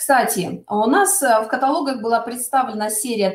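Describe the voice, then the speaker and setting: There is audible room echo around a woman's voice. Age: middle-aged. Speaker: cosmetics sales consultant. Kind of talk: webinar product presentation. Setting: online webinar. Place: home room. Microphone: webcam.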